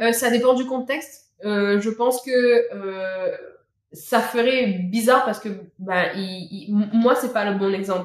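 The woman's voice sits fairly high, with ordinary pitch variation. She speaks at a very slow pace. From Réunion. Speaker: Réunion local sharing her culture. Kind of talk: casual chat.

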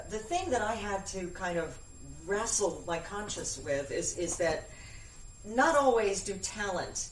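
A woman speaks at a fairly slow pace with lively intonation and a medium pitch. Noticeable background noise sits behind her. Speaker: voice-over artist and actress. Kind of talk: casual chat.

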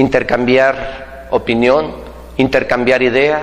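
There is noticeable background noise. Through it, a man speaks at a very slow pace. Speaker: business coach. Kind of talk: motivational talk. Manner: animated.

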